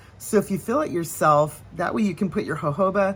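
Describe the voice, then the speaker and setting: Somewhat breathy delivery at a moderate pace, carried by lively intonation. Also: woman. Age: 60s. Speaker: nail care vlogger. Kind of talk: casual tutorial. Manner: chatty, with fillers and restarts.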